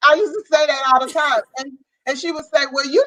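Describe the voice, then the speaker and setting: A woman speaks loudly at a high pitch. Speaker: guest mother. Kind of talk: casual chat.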